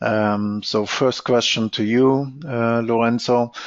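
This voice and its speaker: A man speaks at a very slow pace, with a medium pitch and fairly even intonation. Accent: slight German. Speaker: product manager. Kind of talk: webinar Q&A. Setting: online webinar.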